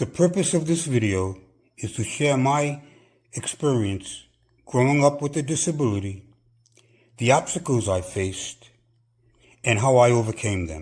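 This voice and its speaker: In a very clean recording with a silent background, a man speaks at a moderate pace with long, frequent pauses. His medium-pitched voice is somewhat breathy and swings very widely in pitch. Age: 70s. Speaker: personal trainer. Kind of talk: personal testimony.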